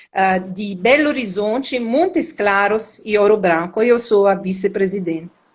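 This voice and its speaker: A woman speaks at a fairly slow pace with a medium pitch. Her pitch varies in an ordinary way. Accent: Italian. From Italy. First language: Italian (speaking Portuguese). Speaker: professor and union leader. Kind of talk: live stream conversation.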